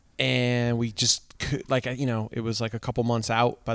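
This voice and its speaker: A man with an American accent has a normal speaking voice at medium pitch. He moves at a fairly quick pace. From Connecticut. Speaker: ska band singer. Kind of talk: casual interview. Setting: in a car.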